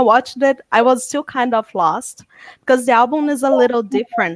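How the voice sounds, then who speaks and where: In a very clean recording with a silent background and a dry, close sound with no echo, a woman speaks with a non-native accent. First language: not English. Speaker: fan panel guest. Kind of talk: casual video chat.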